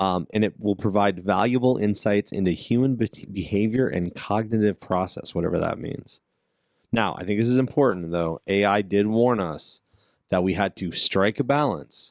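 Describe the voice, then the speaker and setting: A man speaks in an ordinary speaking voice, fairly low in pitch, at a moderate pace with ordinary pitch variation. The sound is dry and close with no echo, over a quiet background. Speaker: martial arts podcast co-host. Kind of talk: casual chat.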